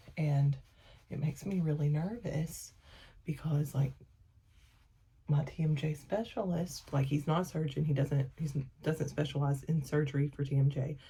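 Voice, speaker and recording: A woman's very deep, low pitch and dark, mellow tone, somewhat breathy, with fairly even intonation, a moderate pace and long, frequent pauses. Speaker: family vlogger. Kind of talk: casual vlog talk. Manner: soft-spoken; rambling with many fillers.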